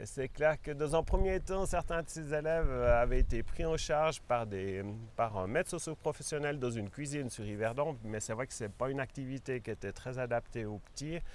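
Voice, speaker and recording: An unremarkable speaking voice moves at a moderate pace with hardly any pauses. The intonation is lively. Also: man, medium pitch for a man. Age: 60s. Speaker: organic farmer. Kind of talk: interview. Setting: on his farm.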